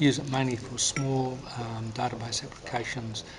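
A man is talking, and noticeable background noise can be heard behind him. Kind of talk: interview answer. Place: hall. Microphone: phone near.

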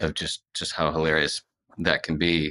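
A man with a very deep, low pitch and a bright, sharp tone at a fairly slow pace over a quiet background. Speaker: podcast guest. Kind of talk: interview answer. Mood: relaxed, reflective. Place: studio. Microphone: earbuds.

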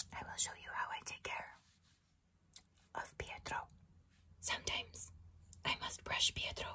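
Whispering at a moderate pace, with long, frequent pauses. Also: woman. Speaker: ASMR creator. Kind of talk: ASMR whisper roleplay. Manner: whispered. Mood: calm, playful. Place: home room. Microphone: studio mic.

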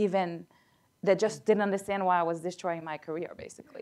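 Over a quiet background, a woman talks at a very fast pace. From Haiti. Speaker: physician; panelist. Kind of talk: panel discussion. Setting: stage with audience. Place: meeting room.

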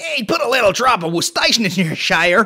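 A man's high, bright, sharp voice with a slightly husky edge, big pitch swings and a moderate pace, on a very clean recording with a silent background

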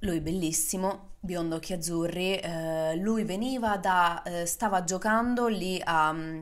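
A woman's animated, fairly low voice with ordinary pitch variation over a quiet background. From Rome, Italy; Italy. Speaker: podcast host and social media creator; podcast host, social media creator. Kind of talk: casual monologue. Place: home room. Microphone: studio mic.

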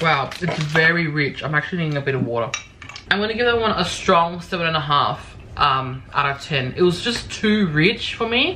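Moderate pace with noticeable background noise. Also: woman. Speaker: vlogger. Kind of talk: casual vlog chat, taste test review. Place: home room.

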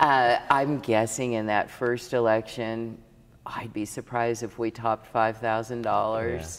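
A woman with a Midwestern American accent, very deep and low in pitch, at a fairly slow pace with fairly even intonation, over light background noise. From Saline County, Kansas. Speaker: former state legislator, tax accountant and rancher. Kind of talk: interview answer. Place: hall.

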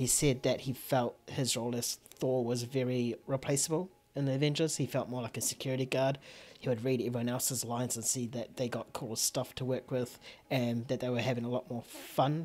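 Fairly quick speech with a New Zealand accent. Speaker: film podcast host. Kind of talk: casual chat. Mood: opinionated, playful. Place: home room. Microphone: studio mic.

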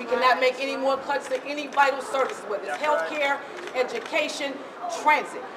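Amid crowd noise in the background, a woman with a high pitch and ordinary pitch variation talks at a fairly quick pace. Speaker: transit rider activist. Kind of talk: protest speech. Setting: bank lobby protest. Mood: indignant, determined. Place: hall. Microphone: camera far.

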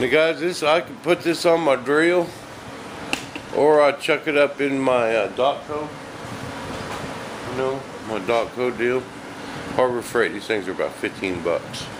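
A man talks slowly, fairly so, pausing long and often amid noticeable background noise. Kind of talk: casual workshop show-and-tell. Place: workshop. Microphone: camera far.

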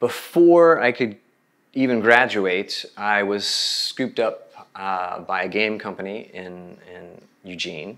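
A man speaks at a very slow pace with a fairly low pitch. His intonation is lively. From Oklahoma. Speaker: visual artist. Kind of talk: interview. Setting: video call. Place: home room. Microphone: lapel.

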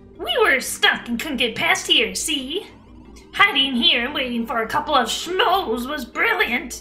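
A woman performs a put-on character voice at a high pitch with very wide pitch swings. She keeps a moderate pace, with clear music in the background. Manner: sly, scheming.

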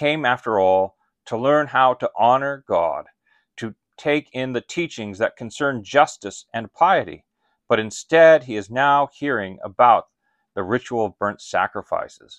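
The sound is dry with no echo and the background quiet as a man talks at a fairly slow pace. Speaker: pastor or Bible teacher. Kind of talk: sermon-like teaching talk. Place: home room.

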